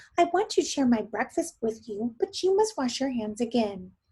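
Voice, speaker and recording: A woman uses a put-on character voice, pitched high. She keeps a moderate pace. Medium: read story.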